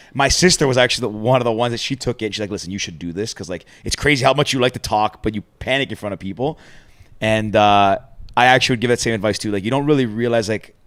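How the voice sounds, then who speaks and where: Speaking at a very fast pace, a man uses a medium pitch with ordinary variation. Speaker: podcast co-host. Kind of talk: casual chat.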